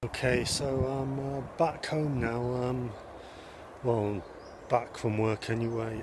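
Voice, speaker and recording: A man of medium pitch talks very slowly with fairly even intonation and long, frequent pauses, the sound dry with no echo and noticeable background noise behind him. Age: 40s. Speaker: vlogger. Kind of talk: casual vlog talk to camera. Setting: outdoors. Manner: hesitant, many filler sounds. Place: open country. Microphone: phone near.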